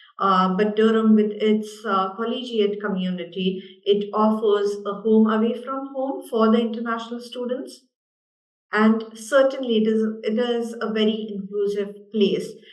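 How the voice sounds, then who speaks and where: A woman speaks with an Indian accent at a fairly high pitch and a fairly slow pace. Her intonation is fairly even, and room echo is audible. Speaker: university international development manager. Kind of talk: panel discussion.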